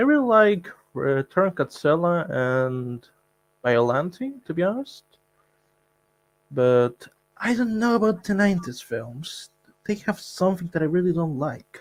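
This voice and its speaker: With long, frequent pauses, a man talks in a high pitch for a man, his voice making very wide pitch swings. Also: fairly slow pace. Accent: non-native. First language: not English. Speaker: guest fan. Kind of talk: casual chat.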